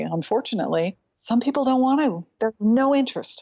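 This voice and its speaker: Fairly high in pitch, a woman with an unremarkable speaking voice talks at a fairly quick pace with ordinary pitch variation. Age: 50s. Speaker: psychotherapist and psychodrama trainer. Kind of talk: interview. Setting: video call.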